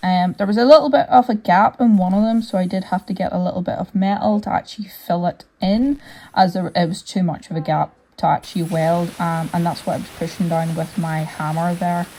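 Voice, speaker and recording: A woman with a Northern Irish accent speaks at medium pitch and a fairly quick pace. Her tone is dark and mellow, somewhat breathy, with ordinary pitch variation. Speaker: hobby metal fabricator. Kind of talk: workshop voiceover narration. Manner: casual, conversational.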